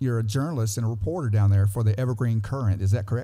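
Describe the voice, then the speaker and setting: A man with an Alabama accent speaks in a dark, mellow tone. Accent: US Southern (Alabama). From South Alabama. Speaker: podcast host. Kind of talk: podcast interview. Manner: casual, halting.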